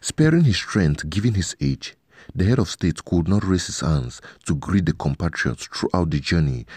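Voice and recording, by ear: A man's low, dark, mellow voice with a slightly husky edge, at a moderate pace.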